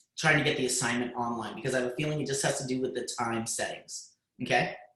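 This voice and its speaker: Someone talks at a very fast pace with audible room echo. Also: man. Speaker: high school computer science teacher. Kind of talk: lecture. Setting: video call.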